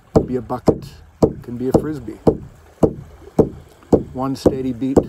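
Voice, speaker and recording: Loud background noise sits behind a man whose voice is dry with no echo. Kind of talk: reflective encouragement talk. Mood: calm, soothing. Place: beach. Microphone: phone near.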